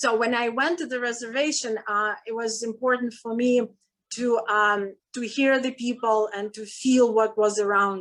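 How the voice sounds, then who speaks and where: The speaker has a non-native accent and a moderate pace with fairly even intonation. Loudness swings widely from moment to moment. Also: woman, fairly high pitch for a woman. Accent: foreign. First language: not English. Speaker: filmmaker. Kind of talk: panel talk. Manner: halting.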